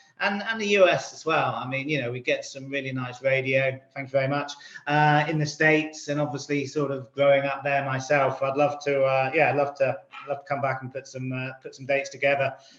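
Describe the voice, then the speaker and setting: A fairly quick pace in an American accent, fairly even intonation and big swings in loudness over noticeable background noise. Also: man, fairly high pitch for a man. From England, Oxford. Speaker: indie band guitarist and singer. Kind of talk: interview. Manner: halting.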